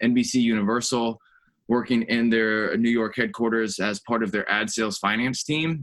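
A man talks in an ordinary speaking voice with an American accent and medium pitch. His intonation is fairly even and his pace fairly quick. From US South, North Carolina. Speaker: finance and operations executive. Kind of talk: interview.

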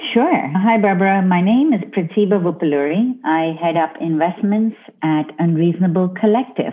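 A woman at medium pitch, lively intonation, very even loudness and a moderate pace, with noticeable background noise. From India. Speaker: venture investor. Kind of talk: interview.

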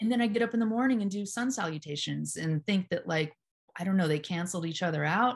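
A somewhat breathy woman's voice at a very fast pace, with lively intonation. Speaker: hypnotherapist and yoga teacher. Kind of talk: casual conversation interview.

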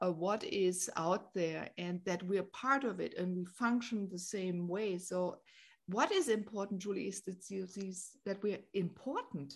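A woman talks at a fairly slow pace with ordinary pitch variation in an ordinary speaking voice. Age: 50s. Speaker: podcast host and spiritual guide. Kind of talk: casual interview chat. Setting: remote call.

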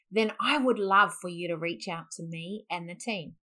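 On a very clean recording against a silent background, a woman is speaking. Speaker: podcast host and business founder. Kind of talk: sales pitch.

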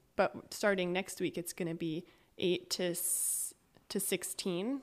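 Speaking with a West Coast US accent, a woman uses medium pitch and fairly even intonation. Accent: American (West Coast). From Northern California (Eureka). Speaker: church leadership council member, reading specialist. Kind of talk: casual interview chat.

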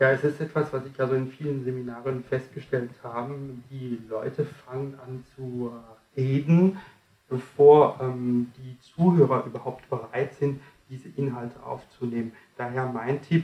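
A man with a medium pitch and a dark, mellow tone sounds somewhat breathy, his intonation fairly even. He talks at a fairly slow pace, his loudness swinging widely. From France. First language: French (speaking German). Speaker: communication trainer and author. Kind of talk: interview, explaining coaching methods.

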